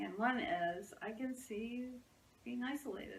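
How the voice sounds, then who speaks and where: Audible room echo and noticeable background noise surround a woman whose intonation is lively. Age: 60s. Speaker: psychotherapist. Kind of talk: casual interview chat.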